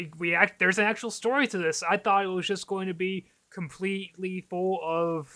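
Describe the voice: The delivery is plain reading aloud, keeping a fairly even intonation.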